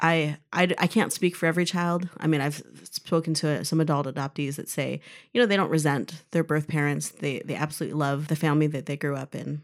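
Over a silent background in a very clean recording, a woman with a very deep, low pitch speaks at a fairly quick pace. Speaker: adoptive mother. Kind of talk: casual chat. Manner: animated.

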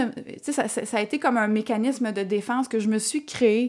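A woman with a plain, everyday voice speaks at a moderate pace, her pitch fairly high and its variation ordinary. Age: 30s. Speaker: entrepreneur. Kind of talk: casual interview.

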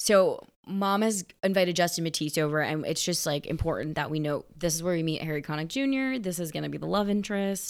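In a very clean recording with a silent background, a woman with an American accent speaks at a moderate pace, her fairly low pitch varying in an ordinary way. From US East Coast. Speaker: podcast co-host. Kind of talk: casual chat.

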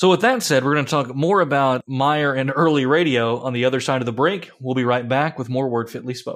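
Here is a man with a plain, everyday voice, medium pitch and ordinary pitch variation, talking at a fairly quick pace. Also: hardly any pauses. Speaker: pastor and podcast host. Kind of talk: casual discussion.

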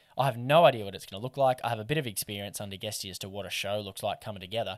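With an Australian accent, the speaker shows ordinary pitch variation on a very clean recording with a silent background. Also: man. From Australia, Newcastle / Lake Macquarie NSW. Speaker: fishing content creator and podcast co-host. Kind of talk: casual interview chat.

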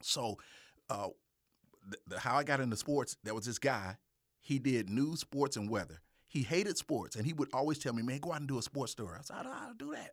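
A man with a Mississippi accent talks at a fairly quick pace and medium pitch with lively intonation, in a dry, close sound with no echo on a very clean recording with a silent background. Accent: Southern US (Mississippi). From US South, Jackson, Mississippi. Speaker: videographer and TV/radio producer. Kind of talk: casual interview. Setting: studio.

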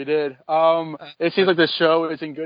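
This man has a plain, everyday voice, a fairly high pitch and a fairly slow pace. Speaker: former panelist of the show. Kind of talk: casual chat. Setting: video call.

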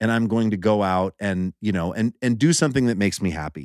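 A man with an ordinary speaking voice, medium pitch, lively intonation, and a moderate pace, in a very clean recording with a silent background and a dry, close sound with no echo. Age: 40s. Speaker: musician. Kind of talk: casual chat.

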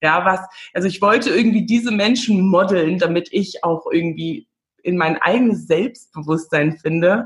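At a moderate pace, a woman speaks in a somewhat breathy, medium-pitched voice with ordinary pitch variation. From Namibia. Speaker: confidence coach and podcaster. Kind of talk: casual interview chat.

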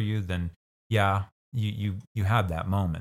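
With a Midwestern US accent, a man talks in a very deep, low voice with fairly even intonation, on a very clean recording with a silent background. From Kansas, US. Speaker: bishop and college faculty member. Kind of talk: casual interview chat.

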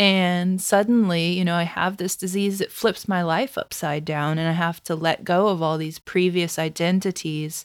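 In a very clean recording with a silent background, a woman with a plain, everyday voice speaks at a moderate pace and fairly low pitch, with fairly even intonation and hardly any pauses. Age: 30s. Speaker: chronic disease advocate and blogger. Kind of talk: podcast interview.

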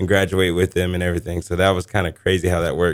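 A man's very deep, low-pitched voice with an American accent. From Florida (Lakeland). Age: 20s. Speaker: high school football coach. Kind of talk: radio interview. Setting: radio studio.

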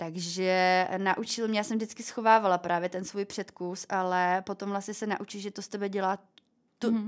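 A woman with an ordinary speaking voice talks at a moderate pace, at medium pitch with ordinary pitch variation. The recording is very clean, with a silent background. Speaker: former fashion model and cancer survivor. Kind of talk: interview. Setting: studio.

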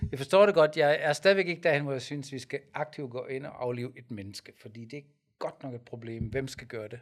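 Using an ordinary speaking voice, a man talks at a fairly quick pace and a fairly high pitch, with ordinary pitch variation and big swings in loudness. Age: 50s. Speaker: pastor and podcast co-host. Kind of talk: casual debate.

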